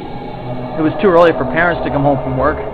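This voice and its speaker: A man's voice over noticeable background noise. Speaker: radio show host. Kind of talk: spooky story narration on radio.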